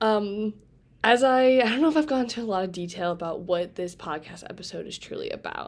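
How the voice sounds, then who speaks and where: A woman talks at a fairly quick pace with lively intonation and a medium pitch. The recording is very clean, with a silent background. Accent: Midwestern American. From Indiana, Fort Wayne. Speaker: college student podcast host. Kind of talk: casual solo podcast talk. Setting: home bedroom. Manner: casual, filler-heavy with laughs.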